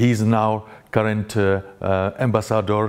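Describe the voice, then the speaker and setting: A man speaks with a Russian accent at a fairly low pitch. His intonation stays fairly even. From Russia (Grozny, Chechnya). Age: 40s. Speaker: journalist. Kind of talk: conference talk. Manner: halting, many fillers.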